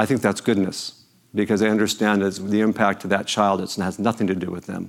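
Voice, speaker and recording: A man with an American accent speaks at a fairly quick pace in a normal speaking voice, fairly low in pitch. The recording is very clean with a silent background. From Los Angeles, US. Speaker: charity executive, keynote speaker. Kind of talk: speech to breakfast audience.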